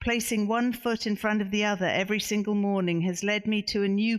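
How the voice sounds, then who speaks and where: A woman with a medium pitch keeps her intonation fairly even, recorded very cleanly over total silence. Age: 60s. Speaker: author. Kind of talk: reading aloud; book talk. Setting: bookstore event with audience.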